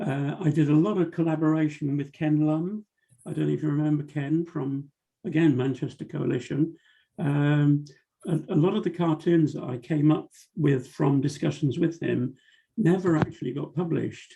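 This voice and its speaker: A man with a British accent speaks with a fairly high pitch, a dark, mellow tone and fairly even intonation. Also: moderate pace. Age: 70s. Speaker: cartoonist. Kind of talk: interview. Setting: video call.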